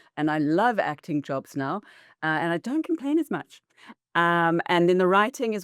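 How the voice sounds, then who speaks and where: A woman speaks at a moderate pace in a very clean recording with a silent background and a dry, close sound with no echo. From South Africa and New Zealand. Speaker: actor and filmmaker. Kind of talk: casual interview. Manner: hesitant, many fillers.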